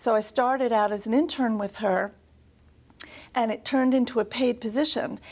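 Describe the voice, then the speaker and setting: A woman with a New York accent speaks at a high pitch and a moderate pace in a very clean recording with a silent background. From New York, Long Island. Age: 60s. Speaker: art museum director. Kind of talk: interview.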